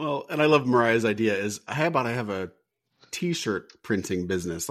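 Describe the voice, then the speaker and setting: Recorded very cleanly against a silent background, a man speaks at a medium pitch. His pace is fairly quick and his intonation lively. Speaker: podcast co-host. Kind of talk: casual recap chat. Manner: joking, animated.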